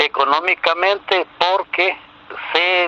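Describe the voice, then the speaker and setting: A man at a very slow pace, in a dry, close sound with no echo and noticeable background noise. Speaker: religious teacher. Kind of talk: religious teaching.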